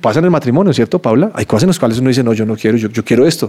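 A man speaking at a very fast pace. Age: 50s. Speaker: time management teacher. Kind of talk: interview.

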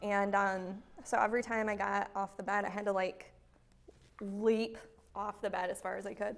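A woman speaks in a monotone, flat intonation, leaving long, frequent pauses. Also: moderate pace. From Michigan (Byron). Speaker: content specialist, company employee. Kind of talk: casual interview.

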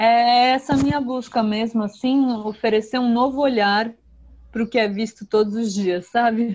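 Her fairly high-pitched voice shows ordinary pitch variation as this woman speaks. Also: moderate pace. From São Paulo, Brazil. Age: young. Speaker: singer-songwriter. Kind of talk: interview.

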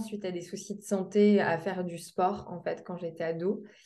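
The speech moves at a fairly slow pace with fairly even intonation. Music plays in the background, and the room echo is audible. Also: woman. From Lorraine, France (Metz). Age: 20s. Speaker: sports nutritionist. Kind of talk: interview.

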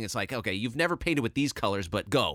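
In a very clean, dry, close recording with a silent background and no echo, a man speaks in a bright, sharp tone with very wide pitch swings. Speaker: video game composer. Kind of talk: interview.

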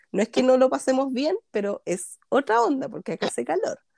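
In a dry, close recording with no echo, a woman with a Chilean accent speaks in a dark, mellow tone. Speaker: scrapbooking instructor. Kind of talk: casual chat.

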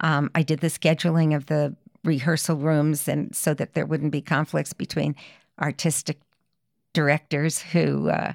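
Heard at a moderate pace with vocal fry, the voice has a dry, close sound with no echo on a very clean recording against a silent background. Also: woman. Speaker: community theater association president. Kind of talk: casual interview.

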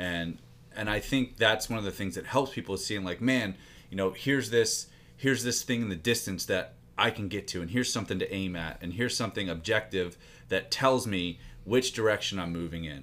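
A man's fairly low-pitched voice, a plain, everyday voice, at a fairly quick pace with ordinary pitch variation. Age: 30s. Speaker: fitness coach and business partner. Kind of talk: casual chat.

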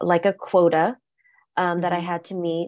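A woman's fairly low-pitched voice with an American accent, over a quiet background. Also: dry, close sound with no echo. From South Central Los Angeles, US. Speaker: tarot reader and former tech executive. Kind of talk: casual interview chat. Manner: loud, funny, talkative.

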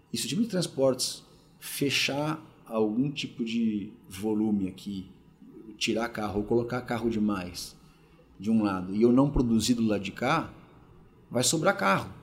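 Speaking at a fairly slow pace with long, frequent pauses, a man uses a medium pitch with ordinary variation. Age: 40s. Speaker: logistics executive. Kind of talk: interview. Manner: hesitant, many filler words.

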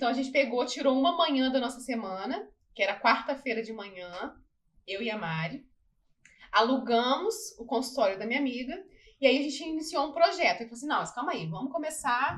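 Her pitch high and her intonation lively, a woman speaks at a fairly quick pace with big swings in loudness. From Barra Mansa, Rio de Janeiro state, Brazil. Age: 30s. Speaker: dentist. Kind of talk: casual interview.

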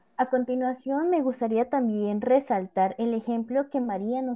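A woman speaks with ordinary pitch variation. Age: young. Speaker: podcast host. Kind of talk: casual panel discussion.

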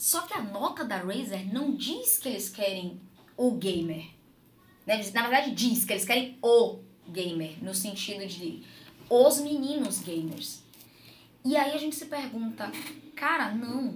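Fairly high-pitched woman's voice with big swings in loudness, long, frequent pauses and audible room echo. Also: lively intonation, fairly slow pace. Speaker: mother, gamer and game event organizer. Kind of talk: casual chat. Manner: talkative.

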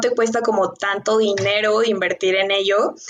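At a fairly slow pace, a woman with a plain, everyday voice speaks at a fairly high pitch. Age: 20s. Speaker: nutrition consultant and entrepreneur. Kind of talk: interview.

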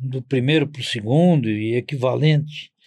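The recording is very clean, and the background is silent. Over it, a man talks very slowly, his intonation lively. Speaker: vascular surgeon. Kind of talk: interview, personal reminiscence. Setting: studio.

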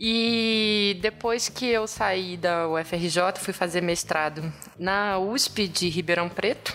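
Very slow speech from a woman at a medium pitch, with ordinary pitch variation and very even loudness. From Brazil, Rio de Janeiro. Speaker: paleontologist. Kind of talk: casual chat.

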